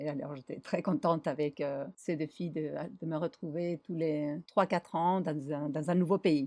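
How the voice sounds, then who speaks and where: A dark, mellow tone comes through at a fairly slow pace with fairly even intonation, in a dry, close recording with no echo and a quiet background. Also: woman, very deep, low pitch for a woman. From Argentina, Buenos Aires. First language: Spanish (speaking French). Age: 50s. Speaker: designer and traveller. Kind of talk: interview.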